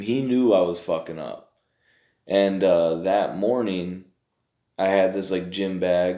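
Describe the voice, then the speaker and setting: A man with a very deep, low voice and a dark, mellow tone, speaking in a Michigan accent. He talks at a very slow pace with ordinary pitch variation. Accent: Michigan, Midwestern US. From Pontiac, Michigan. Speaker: formerly incarcerated behavioral health worker. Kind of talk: interview answer. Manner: casual, conversational.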